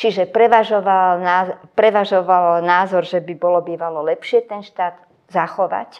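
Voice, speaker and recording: At a moderate pace, a woman speaks in a medium pitch with flat, monotone intonation. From Czechoslovakia (Slovakia). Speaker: sociologist. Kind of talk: interview. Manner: hesitant with fillers.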